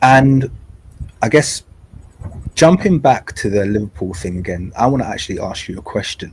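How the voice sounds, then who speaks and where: Somewhat breathy, a man with a London accent speaks at a fairly quick pace with ordinary pitch variation. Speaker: podcast host. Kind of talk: interview conversation.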